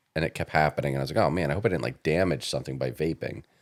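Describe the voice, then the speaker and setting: Vocal fry marks a man's voice, pitched very deep and low. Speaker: podcast co-host. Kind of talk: casual chat.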